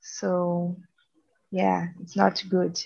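The speaker is a woman with a Portuguese accent. She talks at a very slow pace. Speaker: biology student. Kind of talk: casual chat.

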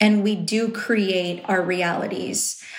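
A woman with an American accent, medium pitch and fairly even intonation, amid audible room echo and noticeable background noise. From Riverside, Southern California. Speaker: television personality and journalist. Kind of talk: casual interview.

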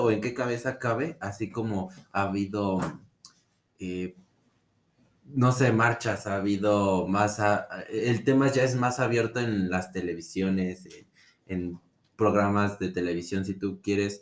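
A man with a Mexican accent talks at a fairly slow pace, fairly low in pitch, with ordinary pitch variation. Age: 20s. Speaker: podcast guest. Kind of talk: casual chat.

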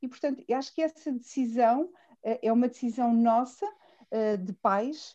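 The tone is dark and mellow, with ordinary pitch variation. Delivery comes at a fairly slow pace. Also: woman, high pitch for a woman. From central Portugal, near Fátima. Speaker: teacher. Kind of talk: casual chat.

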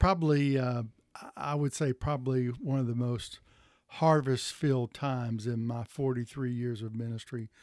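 Here a man talks at a moderate pace. His intonation is fairly even. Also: medium pitch for a man. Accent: Tennessee. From Tennessee, Chattanooga area. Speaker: denominational church consultant. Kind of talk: interview. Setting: pastor's office.

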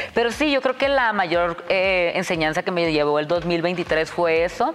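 With noticeable background noise behind her, a woman speaks at a fairly low pitch. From Tijuana, Mexico. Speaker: social media personality and dancer. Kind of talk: casual chat. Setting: studio.

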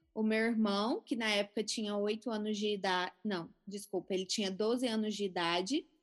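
A woman with an ordinary speaking voice talks at a moderate pace, her pitch fairly high with ordinary variation, over a quiet background. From Brazil, Goiânia (Goiás). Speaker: physician, cancer survivor. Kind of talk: interview testimony.

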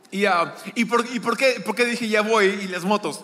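A raised, projected voice comes through at a fairly slow pace amid noticeable background noise. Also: man. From Peru, Lima. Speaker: guest preacher. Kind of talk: sermon. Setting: church. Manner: halting.

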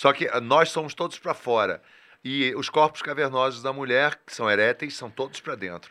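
The man's tone is bright and sharp, at a medium pitch with ordinary variation. He keeps a moderate pace. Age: 40s. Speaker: podcast guest. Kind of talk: casual chat.

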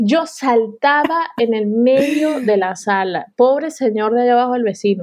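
A woman talks at a fairly slow pace with hardly any pauses. Her high voice has lively intonation. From Venezuela. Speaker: graphic designer. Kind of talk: casual interview conversation.

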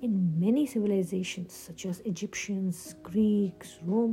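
Simply plain reading aloud.

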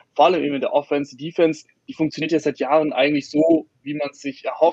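A man talks at a very fast pace in a fairly high voice, recorded with a dry, close sound and no echo. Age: 20s. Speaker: online sports editor and football podcaster. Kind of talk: casual panel discussion.

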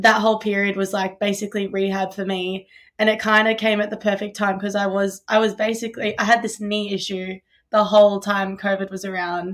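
On a very clean recording with a silent background, the speaker talks at a fairly quick pace in a monotone, flat voice with an Australian accent. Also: woman, medium pitch for a woman. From Australia (Melbourne). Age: 20s. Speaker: college distance runner. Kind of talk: interview. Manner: casual, filler-heavy.

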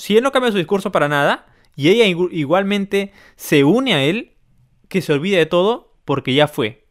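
Here a man uses an ordinary speaking voice with lively intonation at a moderate pace. The sound is dry and close, with no echo. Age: 30s. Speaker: podcast host. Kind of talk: casual chat.

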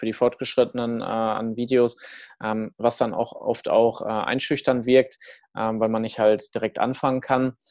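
A man speaks with a medium pitch. His intonation stays monotone and flat. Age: 20s. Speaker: fitness startup founder and speaker. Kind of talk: casual interview chat.

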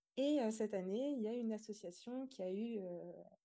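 Her tone is dark and mellow, with a fairly high pitch and fairly even intonation. The woman keeps a moderate pace. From rural France (Montbrison, Loire). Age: 20s. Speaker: pastry entrepreneur. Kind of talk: podcast interview.

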